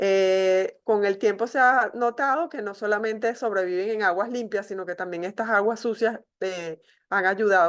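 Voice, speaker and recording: A woman with a normal speaking voice talks at a medium pitch and a moderate pace, with ordinary pitch variation. The background is quiet. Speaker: medical school professor. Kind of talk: online lecture.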